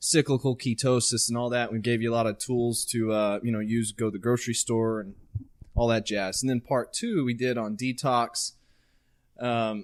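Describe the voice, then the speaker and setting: At a moderate pace, a man speaks in a normal speaking voice with medium pitch. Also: fairly even intonation. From Central Texas. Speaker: podcast co-host. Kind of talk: casual chat.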